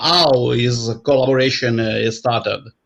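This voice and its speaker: A man with an Italian accent at a fairly slow pace. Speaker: show host. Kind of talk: interview. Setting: live stream. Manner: halting.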